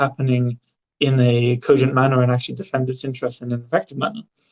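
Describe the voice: Fairly quick speech from a man. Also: slightly mellow tone.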